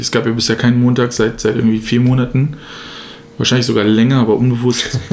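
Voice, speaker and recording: Over noticeable background noise, a man talks at a very fast pace. His intonation is monotone and flat, his loudness very even. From Germany, Braunschweig. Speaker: podcast co-host, student. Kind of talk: casual chat. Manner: halting, many fillers and repetitions.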